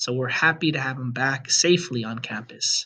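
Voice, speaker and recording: His pitch moves with ordinary variation. This man keeps a moderate pace. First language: Spanish. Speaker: high school Spanish teacher. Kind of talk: presentation to parents. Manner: formal.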